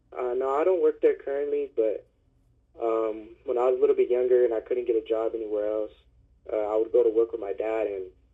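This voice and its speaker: A man speaks with a Californian accent. He moves at a fairly quick pace. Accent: Californian American English. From Concord, California (Bay Area). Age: 20s. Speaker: boxer. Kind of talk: interview. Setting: phone call. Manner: halting, many fillers.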